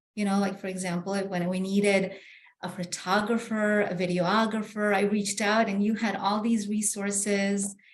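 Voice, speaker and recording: A woman with a Spanish accent speaks at a moderate pace in a flat monotone. Noticeable background noise sits behind her. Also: medium pitch for a woman. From Bolivia, then New York. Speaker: real estate agent. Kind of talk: interview. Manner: halting, many fillers.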